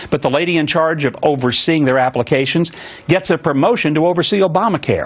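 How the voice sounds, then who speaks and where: A fairly high-pitched man at a fairly quick pace, with noticeable background noise. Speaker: TV talk show host. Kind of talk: opening monologue on a political commentary show. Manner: earnest, indignant.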